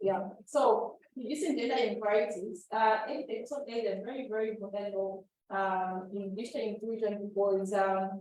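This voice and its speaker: A woman with a normal speaking voice, fairly high in pitch, at a moderate pace with hardly any pauses and fairly even intonation. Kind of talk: workshop presentation.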